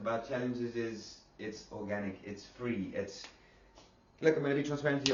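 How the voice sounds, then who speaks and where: Noticeable background noise and audible room echo surround a fairly quick delivery with ordinary pitch variation. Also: man. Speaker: online marketing influencer. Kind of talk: sales pitch. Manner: fast; animated.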